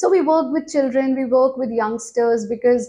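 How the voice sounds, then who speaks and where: Speaking in an Indian accent, a woman uses a high pitch, lively intonation and a dark, mellow tone at a moderate pace. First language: Hindi. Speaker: yoga teacher. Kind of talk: interview.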